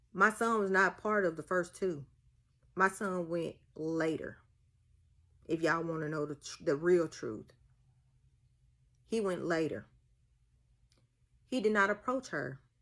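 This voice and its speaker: In a strong Mississippi accent, a woman speaks fairly slowly at a fairly low pitch, her intonation lively, with long, frequent pauses. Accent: thick Mississippi Southern. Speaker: social media commenter, mother. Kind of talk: casual vlog rant. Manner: animated.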